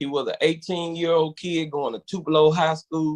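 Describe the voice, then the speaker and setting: A man with a Southern US accent speaks in a fairly high pitch. The sound is dry and close, with no echo. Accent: country Southern. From Verona, Mississippi. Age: 40s. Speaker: quartet gospel singer. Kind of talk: interview.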